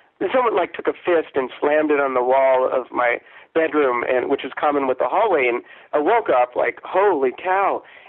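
Man with an American accent, an unremarkable speaking voice, ordinary pitch variation and moderate pace. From US Midwest. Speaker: storyteller and author. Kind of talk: casual interview.

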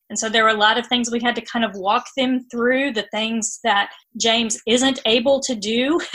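Her voice is a plain, everyday voice, fairly high in pitch. The woman keeps a moderate pace and fairly even intonation. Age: 40s. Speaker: author and church special-needs ministry leader. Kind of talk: interview.

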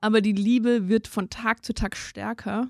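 A woman speaks at a fairly high pitch in a monotone, flat intonation. The sound is dry and close with no echo, a very clean recording with a silent background. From Germany, near Mainz. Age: 30s. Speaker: lawyer and new mother. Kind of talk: personal interview.

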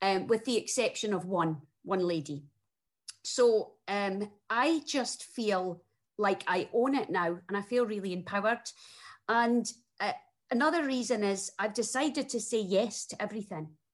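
Speaking at a moderate pace with a strong Scottish accent, a woman uses a fairly high pitch and lively intonation against a quiet background. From Scotland. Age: 40s. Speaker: single mother sharing breakup story. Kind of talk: interview testimony.

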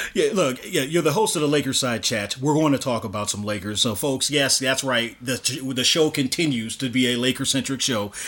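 Talking at a fairly quick pace, a man speaks at medium pitch. Noticeable background noise is present. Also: ordinary pitch variation. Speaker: podcast host. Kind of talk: casual interview.

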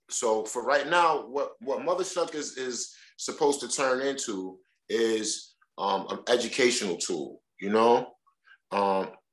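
Speaking at a fairly slow pace with lively intonation, a man in a New York accent has a medium pitch. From New York, Brooklyn (Crown Heights). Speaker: oyster shucker. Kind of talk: casual chat.

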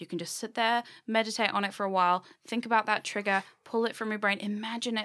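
In a British accent, a woman talks at a fairly quick pace with fairly even intonation, and the recording is very clean with a silent background. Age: 20s. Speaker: podcast host. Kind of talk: casual chat.

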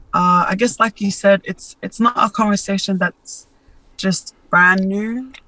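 Speaking with an Australian accent at a fairly slow pace, a woman uses monotone, flat intonation and a bright, sharp tone, with a dry, close sound and no echo. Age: 20s. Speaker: social media influencer and model. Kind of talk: interview, personal testimony. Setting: remote call. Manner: hesitant, many fillers.

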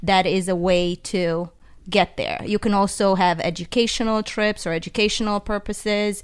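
A woman speaks at a moderate pace with an Eastern European accent. Her pitch sits in the medium range, and her intonation stays monotone and flat. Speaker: travel guest. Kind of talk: casual chat. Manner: nervous.

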